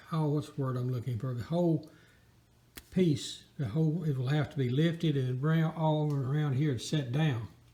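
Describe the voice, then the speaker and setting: A man speaks in a fairly high pitch with a dark, mellow tone, and his voice is somewhat breathy. His pace is moderate, with ordinary pitch variation. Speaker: hobbyist tractor restorer. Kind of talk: casual how-to narration. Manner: stuttering, halting.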